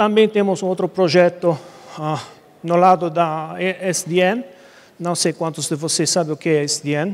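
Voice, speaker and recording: A man with an Italian accent talks at a fairly slow pace in a high pitch. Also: fairly even intonation. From Italy. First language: Italian (speaking Portuguese). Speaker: conference speaker, internet provider engineer. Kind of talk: technical presentation. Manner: halting, many fillers.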